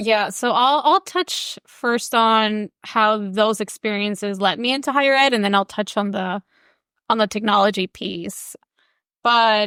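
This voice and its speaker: A woman speaks at a fairly high pitch with a bright, sharp tone. The very clean recording has a silent background and a dry, close sound with no echo. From Mexican border, Tijuana. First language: Spanish. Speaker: education scholar. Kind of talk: interview conversation. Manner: casual, filler-heavy.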